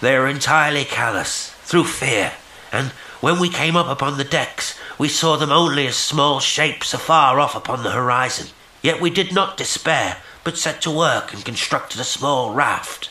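Putting on a character voice, a man speaks at a moderate pace with a fairly high pitch, sounding guttural and solemn in tone. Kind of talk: horror story reading. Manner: hopeless, pathetic, solemn.

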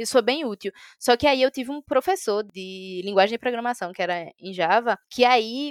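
Here is an unremarkable speaking voice at a fairly quick pace. Pitch varies in an ordinary way, and the sound is dry and close with no echo. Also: woman. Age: 20s. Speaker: software developer. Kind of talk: interview.

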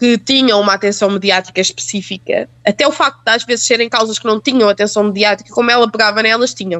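A woman with a plain, everyday voice talks at a fairly quick pace and a fairly high pitch, with ordinary pitch variation and very even loudness. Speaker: journalist. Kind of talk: casual chat.

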